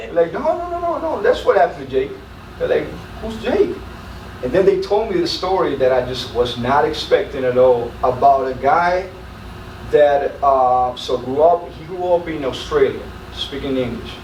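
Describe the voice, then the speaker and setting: A man speaking at a moderate pace is heard in a room with audible echo and noticeable background noise. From Colombia, Medellin. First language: Spanish. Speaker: military senior NCO. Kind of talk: interview storytelling. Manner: halting, many fillers and repeats.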